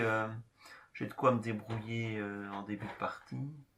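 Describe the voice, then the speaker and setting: A man talks with a strong regional French accent. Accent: pronounced regional French. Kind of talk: casual gameplay commentary.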